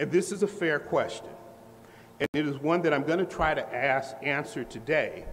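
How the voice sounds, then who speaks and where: A man with a fairly high pitch and ordinary pitch variation speaks at a moderate pace, with noticeable background noise behind him. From US Midwest, Indianapolis, Indiana. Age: 60s. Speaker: professor. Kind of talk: lecture. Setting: lecture hall with audience. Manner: formal.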